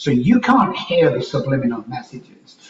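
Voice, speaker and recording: A man speaks with an English accent at a fairly high pitch. His intonation is lively. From Manchester, England. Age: 60s. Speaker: life coach and speaker. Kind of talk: podcast interview.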